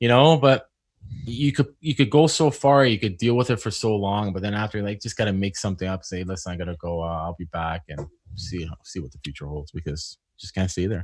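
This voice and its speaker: A man with a Canadian accent has an unremarkable speaking voice at a fairly low pitch and a fairly quick pace. His intonation is lively, and his loudness swings widely. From Canada. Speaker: HVAC technician and business owner. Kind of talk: casual chat.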